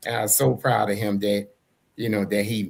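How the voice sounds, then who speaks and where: A man is speaking. His pace is moderate. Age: 60s. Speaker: talk show co-host, army veteran. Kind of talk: casual interview chat.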